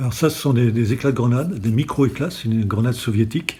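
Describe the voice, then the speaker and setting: At a fairly quick pace, a man speaks in a dark, mellow tone that is somewhat breathy. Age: 60s. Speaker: retired special forces gendarme. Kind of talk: interview testimony. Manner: hesitant, many fillers.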